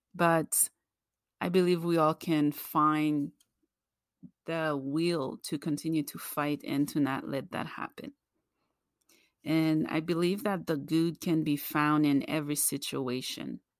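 In a very clean recording with a silent background, a woman with a very deep, low pitch speaks at a very slow pace with fairly even intonation and long, frequent pauses. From Haiti. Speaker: podcast host. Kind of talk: reflective podcast monologue. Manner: slow, earnest.

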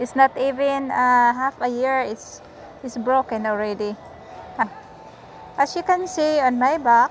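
Over light background noise, a woman speaks fairly slowly at a high pitch with ordinary pitch variation, and the sound is dry with no echo. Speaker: vlogger. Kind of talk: casual vlog chat. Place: shop. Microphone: phone near.

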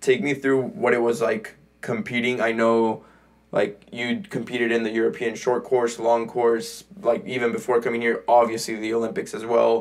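Faint music plays in the background as a man with an American accent speaks. His pitch is medium, his intonation fairly even and his pace moderate. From California, US (Mexican parents). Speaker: podcast host. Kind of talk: casual interview chat. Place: home room. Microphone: studio mic.

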